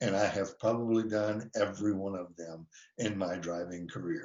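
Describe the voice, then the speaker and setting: A man is talking. His voice sits fairly low. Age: 60s. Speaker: defensive driving instructor. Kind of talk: webinar presentation. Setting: online webinar. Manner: hesitant, many filler words.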